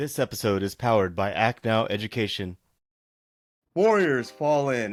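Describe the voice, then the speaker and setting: A man speaks in an ordinary speaking voice at medium pitch and a moderate pace. The recording is very clean, with a silent background. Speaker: podcast host. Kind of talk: podcast intro.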